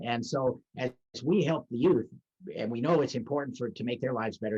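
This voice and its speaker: This is a man with an American accent and an ordinary speaking voice. He talks at a medium pitch with ordinary pitch variation. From Los Angeles, California. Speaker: service club president. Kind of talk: interview answer.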